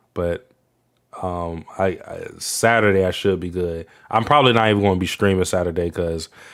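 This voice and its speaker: Very deep and low, a man's voice moves at a moderate pace with ordinary pitch variation. The recording is very clean, with a silent background. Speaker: livestreamer. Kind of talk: casual livestream chat. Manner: halting, repeats words.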